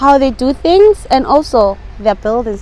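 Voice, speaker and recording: A woman speaks at a fairly slow pace with lively intonation. Noticeable background noise runs under her voice. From South Africa. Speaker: English teacher. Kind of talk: interview.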